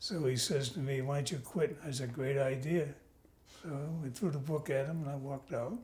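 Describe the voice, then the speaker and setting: With a New York accent, a man speaks at a fairly quick pace in a dark, mellow, somewhat breathy tone, his pitch varying in an ordinary way. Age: 90. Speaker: Navy veteran and grandfather. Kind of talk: family interview.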